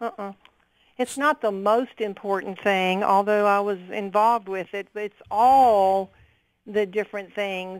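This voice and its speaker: In a plain, everyday voice, a woman talks at a medium pitch and a fairly slow pace with fairly even intonation. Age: 60s. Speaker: caller, retired nurse. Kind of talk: radio call-in.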